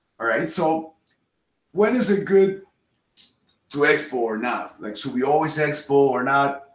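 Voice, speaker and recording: A man in a Spanish accent, fairly high-pitched and fairly slow, with long, frequent pauses and audible room echo. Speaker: software developer and instructor; instructor. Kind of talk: technical presentation. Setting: video call. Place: home room.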